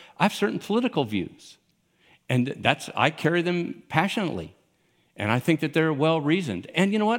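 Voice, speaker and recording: Recorded very cleanly against a silent background, a man with an American accent speaks fairly quickly at a fairly high pitch with very wide pitch swings. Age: 60s. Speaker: pastor. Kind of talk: sermon. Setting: church with live audience. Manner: casual.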